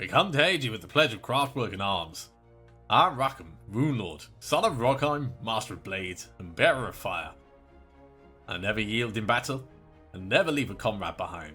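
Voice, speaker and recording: A man puts on a gruff character voice at medium pitch, raised and projected. He keeps a moderate pace over faint music in the background. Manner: proud, heroic.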